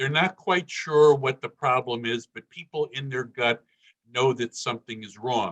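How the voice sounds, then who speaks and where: A man at medium pitch, an unremarkable speaking voice, moderate pace, ordinary pitch variation and big swings in loudness, in dry, close sound with no echo. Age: 60s. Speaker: political candidate, former city councilman. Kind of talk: campaign speech.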